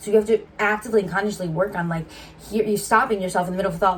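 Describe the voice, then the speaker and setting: A woman talks at a very fast pace in a medium pitch, her intonation fairly even, with noticeable background noise. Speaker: YouTuber, twin co-host. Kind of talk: casual chat.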